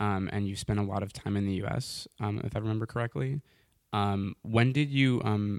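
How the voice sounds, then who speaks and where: Recorded very cleanly with a silent background and a dry, close sound with no echo, a man with an American accent talks at a moderate pace and a fairly low pitch. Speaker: podcast host. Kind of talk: interview conversation. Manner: hesitant, many fillers.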